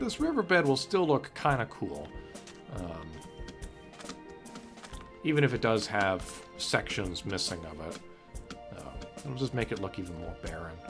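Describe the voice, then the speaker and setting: A raspy, put-on character voice with very wide pitch swings, big swings in loudness, long and frequent pauses, a moderate pace, and music in the background. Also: man, fairly low pitch for a man. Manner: lisping, some sounds slurred.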